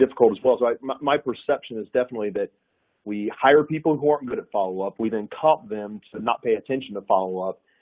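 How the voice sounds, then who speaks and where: Speaking very fast, the man talks in a Southern US accent. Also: medium pitch for a man, ordinary pitch variation. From US South, north Florida. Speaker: sales executive. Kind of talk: webinar panel discussion. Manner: halting, many repetitions.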